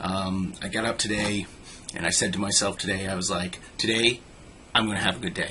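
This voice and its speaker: The man's pitch is fairly low. Noticeable background noise is present. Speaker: vlogger. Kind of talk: casual vlog monologue. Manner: fast; halting, many fillers.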